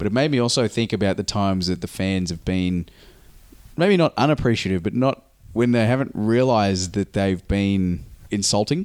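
In an Australian accent, a man talks with a fairly low pitch. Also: ordinary pitch variation, moderate pace, very clean recording, silent background. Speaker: podcast host and pro wrestler. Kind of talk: casual chat.

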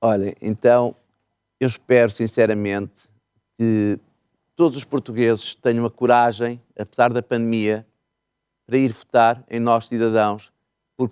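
Recorded dry and close with no echo, the speaker keeps to a moderate pace. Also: man. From northeastern Portugal, Miranda do Douro. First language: Mirandese (speaking Portuguese). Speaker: party politician. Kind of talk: political interview.

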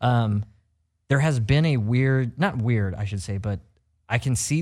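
A plain, everyday voice, a man with an American accent at a medium pitch, with ordinary pitch variation and a fairly slow pace, on a very clean recording with a silent background. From US Midwest (Missouri). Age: 30s. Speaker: radio co-host. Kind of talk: casual chat.

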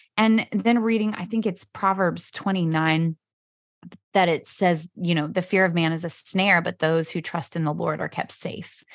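A woman with an American accent, fairly low in pitch for a woman, at a moderate pace with fairly even intonation. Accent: picked up some local southern sayings. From US Pacific Northwest (Spokane, Washington). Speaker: author and speaker. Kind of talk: casual interview chat.

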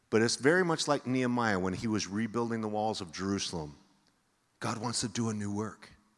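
A man with a normal speaking voice talks at a fairly quick pace, his pitch fairly low and intonation lively. The recording is very clean with a silent background. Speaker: pastor. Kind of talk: sermon. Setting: church.

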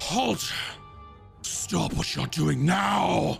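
Clear music plays behind the speaker. He is a man doing a put-on character voice. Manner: commanding, shouting.

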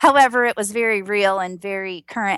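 Speaking with a Georgia accent at medium pitch, a woman is heard on a very clean recording with a silent background and a dry, close sound with no echo. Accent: Georgia Southern US. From US South, Georgia. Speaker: registered nurse and singer. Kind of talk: casual interview chat. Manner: positive, joyful, chatty.

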